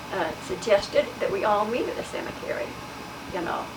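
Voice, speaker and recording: A woman's fairly high voice with an American accent at a moderate pace, amid audible room echo and noticeable background noise. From Utah, US. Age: 80s+. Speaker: oral history interviewee. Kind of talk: oral history interview.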